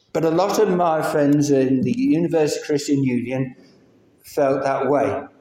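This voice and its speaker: A man's fairly high voice with a dark, mellow tone, ordinary pitch variation and a moderate pace. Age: 60s. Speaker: lay preacher. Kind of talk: sermon. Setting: church.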